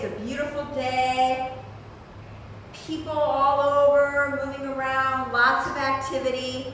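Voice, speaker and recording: Loud and high-pitched, a woman talks at a fairly slow pace with monotone, flat intonation, amid audible room echo and noticeable background noise. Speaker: real estate entrepreneur and former model. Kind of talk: live-stream chat. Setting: live stream, downtown Dallas street view.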